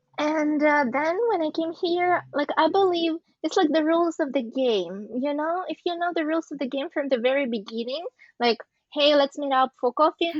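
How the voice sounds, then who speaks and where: A woman's high-pitched voice at a moderate pace with ordinary pitch variation. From Eastern Europe. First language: an Eastern European language. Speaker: podcast guest. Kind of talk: casual group discussion. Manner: halting.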